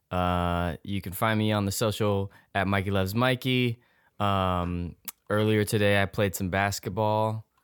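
Talking at a fairly slow pace, a man with an unremarkable speaking voice keeps a fairly low pitch and fairly even intonation, in a dry, close sound with no echo. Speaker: returning podcast guest. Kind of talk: casual chat.

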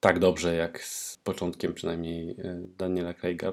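Very deep and low, a man's voice carries the clip. He keeps a moderate pace. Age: 40s. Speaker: podcast co-host, fan site runner. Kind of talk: casual chat.

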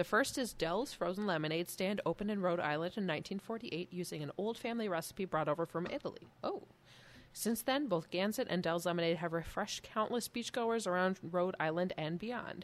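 A fairly quick woman with a Midwestern accent, medium pitch, and ordinary pitch variation. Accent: Midwest. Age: 30s. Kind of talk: casual chat while drinking beer.

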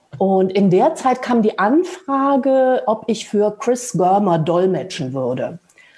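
Speaking at a very slow pace, a woman keeps her loudness very even while her pitch swings very widely. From Lower Rhine region, Germany. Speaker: translator and mindfulness teacher. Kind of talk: casual interview conversation. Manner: halting, many filler sounds.

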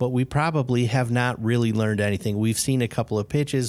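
Fairly even intonation marks this man's speech. He talks at a fairly quick pace. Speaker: podcast host. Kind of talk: casual interview.

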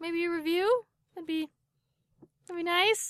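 A woman does a put-on character voice, squeaky and at an extremely high pitch. Her intonation stays fairly even. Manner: sounds like begging.

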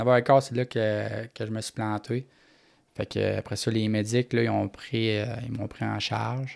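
A man with a Quebec accent speaks at a very slow pace. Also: very clean recording, silent background. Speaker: paraplegic motocross racer. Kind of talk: interview.

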